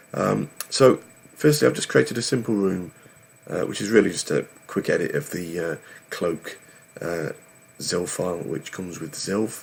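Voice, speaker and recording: A man speaks at a moderate pace with a very deep, low pitch and vocal fry. His pitch swings very widely, and he takes long, frequent pauses. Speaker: programming tutorial youtuber. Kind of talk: tutorial. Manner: hesitant, many fillers.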